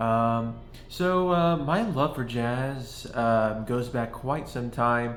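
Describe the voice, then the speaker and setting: Audible room echo around a man at a medium pitch, very slow pace and ordinary pitch variation. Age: 20s. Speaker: video essayist on jazz. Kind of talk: casual monologue. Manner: halting, many fillers.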